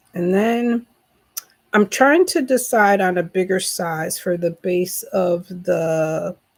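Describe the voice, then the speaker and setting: A woman speaks very slowly in an American accent. Her pitch sits in the middle range and varies in an ordinary way. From western New York (Rochester). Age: 60s. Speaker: crochet YouTuber. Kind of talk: casual craft tutorial vlog. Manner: casual, with frequent fillers.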